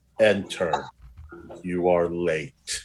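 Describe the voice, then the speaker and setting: This is a put-on character voice. It booms. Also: man, very deep, low pitch for a man. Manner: stern, commanding.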